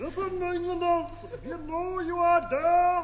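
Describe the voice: This put-on character voice is extremely high and carries a German accent as part of the act. It moves at a fairly slow pace with monotone, flat intonation against clear background noise.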